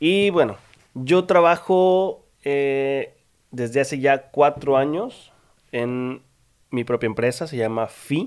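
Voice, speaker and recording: The man's pitch is fairly high, with lively intonation. He talks at a very slow pace with long, frequent pauses. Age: 20s. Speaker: podcast host, architect. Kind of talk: casual chat.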